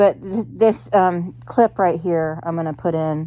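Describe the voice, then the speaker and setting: Mumbling from a woman at a very slow pace, fairly low in pitch, dark and mellow in tone, with ordinary pitch variation. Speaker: YouTuber. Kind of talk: car vlog. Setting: in a car.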